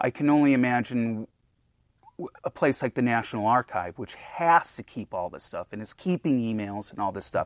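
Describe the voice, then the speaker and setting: A man with an American accent and a normal speaking voice, medium in pitch, at a moderate pace, with lively intonation and big swings in loudness, on a very clean recording with a silent background. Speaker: museum collections director. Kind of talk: casual interview chat.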